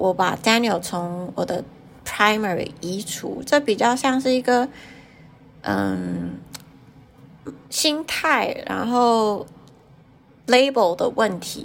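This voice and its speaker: A woman talks very slowly, leaving long, frequent pauses. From Taiwan. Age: 30s. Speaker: interviewee sharing personal story. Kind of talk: personal testimony. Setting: remote recording.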